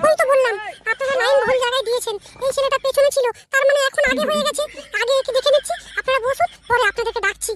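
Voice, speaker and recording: Extremely high and very fast, a woman's cartoonish character voice moves with ordinary pitch variation. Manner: brisk, commanding.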